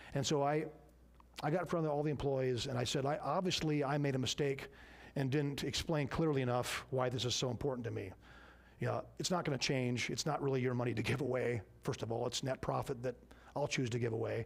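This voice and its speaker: Speaking at a very fast pace, a man with a medium pitch keeps his intonation fairly even and his loudness very even. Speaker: business owner teaching a church class. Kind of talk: church class Q and A.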